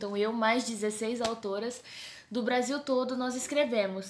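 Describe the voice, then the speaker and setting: A woman speaks at a moderate pace with a São Paulo accent. Her pitch is high and her intonation fairly even. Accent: paulista accent (São Paulo). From Brazil, São Paulo. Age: 20s. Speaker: theology student and book co-author. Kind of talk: casual talk to camera. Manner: informal, chatty.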